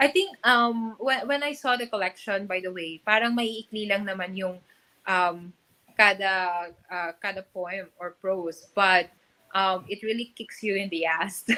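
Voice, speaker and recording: The woman's tone is bright and sharp. She speaks fairly slowly, with ordinary pitch variation. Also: medium pitch for a woman. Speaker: book curator, event host. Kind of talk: live book launch interview. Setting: live stream from bookstore event. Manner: halting.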